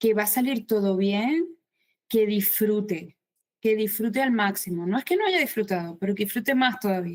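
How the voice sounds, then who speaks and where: This is a woman speaking. She has a Maracaibo accent. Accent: Venezuelan (Maracaibo) accent kept. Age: 50s. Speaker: writer. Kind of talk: interview.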